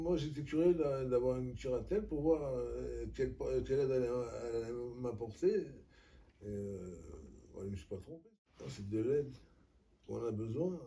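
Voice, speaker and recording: A man's medium-pitched, somewhat breathy voice with a dark, mellow tone, lively intonation and a moderate pace, broken by long, frequent pauses amid audible room echo. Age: 60s. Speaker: person under legal guardianship. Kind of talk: interview testimony. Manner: halting, many hesitations.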